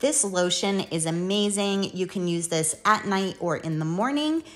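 Ordinary pitch variation marks a woman's fairly slow speech. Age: 50s. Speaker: beauty YouTuber. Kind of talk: tutorial. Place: bathroom.

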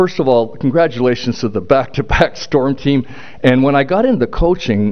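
With a Canadian accent, a man speaks at a moderate pace with ordinary pitch variation against a quiet background. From Northern Ontario, Canada; Ontario, Canada. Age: 60s. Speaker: retired hockey player and coach, hall of fame inductee. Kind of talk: acceptance speech. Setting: stage with audience. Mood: warm, reminiscing. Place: hall. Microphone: podium.

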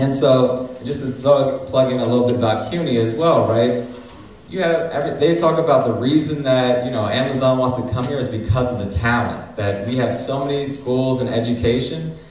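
A man's medium-pitched voice at a moderate pace, with ordinary pitch variation, audible room echo and light background noise. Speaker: community and labor organizer. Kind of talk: speech at a teach-in panel. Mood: critical, advocating. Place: hall. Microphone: camera far.

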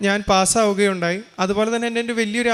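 The man's voice sits high in pitch. He keeps a monotone, flat intonation. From Kerala, Thrissur. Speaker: engineering graduate giving testimony. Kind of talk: testimony.

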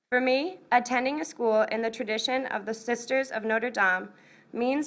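The speaker talks at a moderate pace in an American accent. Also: woman. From US Northeast. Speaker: college student. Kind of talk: prepared speech. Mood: earnest, proud. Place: hall. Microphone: podium.

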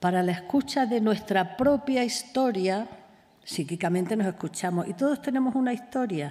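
A somewhat breathy woman's voice, fairly high in pitch, dark and mellow in tone, with lively intonation. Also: moderate pace. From Extremadura, Spain. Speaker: clinical psychologist; conference speaker. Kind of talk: conference talk. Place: hall. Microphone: podium.

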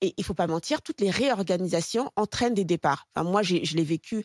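Against a quiet background, a woman talks fairly quickly with lively intonation, the sound dry with no echo. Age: 40s. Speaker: talk show pundit; TV panelist. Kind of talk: panel debate on talk show. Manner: halting, many repetitions and fillers. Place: studio. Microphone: studio mic.

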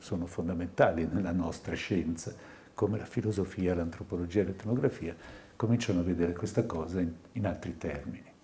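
A man speaks with a very deep, low pitch and a dark, mellow tone. His voice is somewhat breathy, with ordinary pitch variation. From Tuscany, Italy. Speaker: psychiatrist; lecturer. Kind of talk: lecture. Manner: halting. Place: hall. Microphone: podium.

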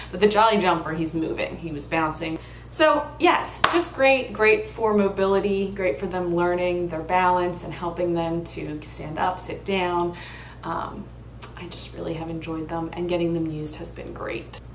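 A woman speaks at a moderate pace with big swings in loudness, amid noticeable background noise and audible room echo. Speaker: vlogger and plant-based coach. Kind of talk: casual product review vlog. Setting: bedroom at her mother's house.

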